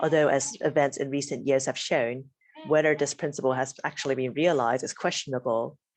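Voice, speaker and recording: A woman with a very deep, low pitch talks at a fairly quick pace with fairly even intonation. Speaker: academic researcher. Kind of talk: academic presentation. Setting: video call. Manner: fast.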